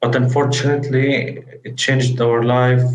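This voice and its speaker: Somewhat breathy and medium in pitch, a man speaks at a fairly slow pace with fairly even intonation, with audible room echo around him. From Gaza, Palestine. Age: 20s. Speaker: war refugee interviewee. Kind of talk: testimony interview. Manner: halting, with hesitations.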